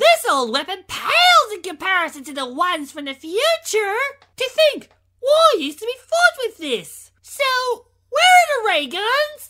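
A put-on character voice at an extremely high pitch, with very wide pitch swings and a moderate pace. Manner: prim, inquisitive.

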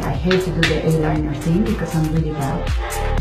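A woman keeps a moderate pace while clear music plays behind her. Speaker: fashion vlogger. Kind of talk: casual vlog chat. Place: home room. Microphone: phone near.

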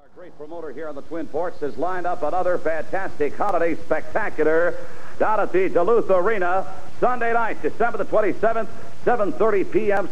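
A man's voice with ordinary pitch variation, over light background noise. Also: fairly quick pace. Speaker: TV interviewer and announcer. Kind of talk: wrestling promo hosting. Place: studio. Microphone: handheld.

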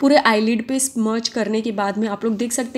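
Noticeable background noise sits behind a woman talking at a fairly quick pace. Her intonation stays fairly even. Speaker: beauty vlogger. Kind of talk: tutorial. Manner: chatty, conversational.

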